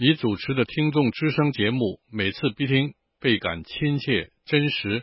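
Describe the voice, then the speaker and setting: A man speaks in a plain, everyday voice with ordinary pitch variation. His pace is fairly slow. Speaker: listener letter reader. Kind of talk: reading aloud.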